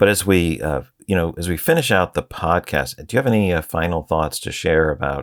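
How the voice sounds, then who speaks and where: On a very clean recording with a silent background, a man with an American accent speaks at a fairly quick pace with a very deep, low pitch, vocal fry and ordinary pitch variation. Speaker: treasury podcast host. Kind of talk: interview podcast. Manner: hesitant, many fillers.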